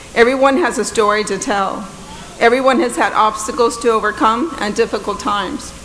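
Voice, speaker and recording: A woman's fairly high voice carries fairly even intonation at a moderate pace. The recording has audible room echo and noticeable background noise. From Texas, Corpus Christi west side. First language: Spanish. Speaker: judge. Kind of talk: commencement speech. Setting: stage with audience.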